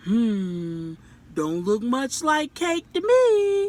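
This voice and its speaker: Using a put-on character voice, a woman speaks at a very slow pace in a high pitch that swings very widely. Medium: read story. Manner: skeptical drawl.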